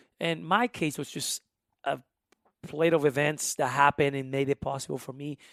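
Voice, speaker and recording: In a strong Honduran accent, a man speaks at a moderate pace in a fairly high, animated voice with ordinary pitch variation, recorded very cleanly, dry and close with no echo against a silent background. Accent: thick Honduran Spanish. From Honduras, then South Carolina from age 13. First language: Spanish. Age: 20s. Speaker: musician and immigration advocate. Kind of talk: interview conversation. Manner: animated, with frequent fillers and restarts.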